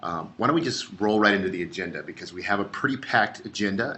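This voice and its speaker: Over noticeable background noise, a man with a fairly low voice talks at a fairly quick pace. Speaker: social media presenter. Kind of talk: webinar presentation. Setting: online webinar. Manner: animated.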